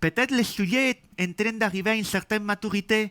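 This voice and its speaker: In a very clean recording with a silent background, a man with a slight Spanish accent speaks at a moderate pace in a bright, sharp tone. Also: dry, close sound with no echo. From Spain. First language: Spanish (speaking French). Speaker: software developer and conference speaker. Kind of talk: tech talk. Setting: meetup with audience.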